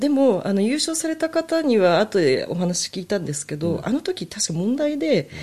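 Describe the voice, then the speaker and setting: A woman speaks at a moderate pace with hardly any pauses, her voice fairly high, somewhat breathy and dark and mellow in tone. Her pitch swings very widely. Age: 40s. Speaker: music fan and amateur violinist. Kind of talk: casual chat.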